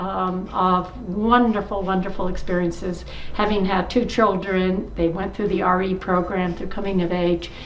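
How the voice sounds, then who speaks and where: A woman talks fairly slowly as audible room echo and noticeable background noise fill the recording. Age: 70s. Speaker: church member. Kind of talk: testimony. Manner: halting.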